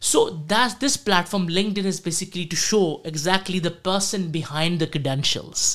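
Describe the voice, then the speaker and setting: On a very clean recording with a silent background, the speaking pace is moderate. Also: man. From South Asia. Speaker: career coach. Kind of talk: casual chat.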